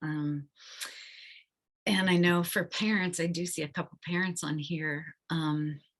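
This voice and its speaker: A woman speaks with a fairly low pitch in a monotone, flat intonation. Her pace is fairly slow, with long, frequent pauses. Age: 60s. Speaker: counselor. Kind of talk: webinar presentation.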